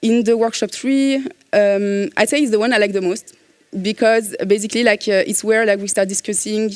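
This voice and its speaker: Speaking at a moderate pace with fairly even intonation, a woman with a French accent keeps to a medium pitch. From France. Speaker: cybersecurity consultant. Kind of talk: conference talk. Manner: hesitant, many fillers.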